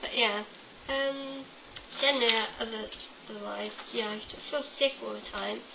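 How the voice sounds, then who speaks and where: A woman with an English accent at a moderate pace, with long, frequent pauses and big swings in loudness, amid noticeable background noise and audible room echo. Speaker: vlogger. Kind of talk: casual vlog monologue. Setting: home webcam. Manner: chatty, many fillers. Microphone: webcam, poor quality.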